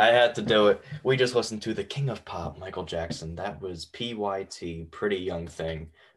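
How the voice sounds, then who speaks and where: With hardly any pauses, an unremarkable speaking voice keeps a moderate pace and ordinary pitch variation. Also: man, fairly low pitch for a man. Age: 20s. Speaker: college radio host. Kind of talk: radio show hosting. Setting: radio studio.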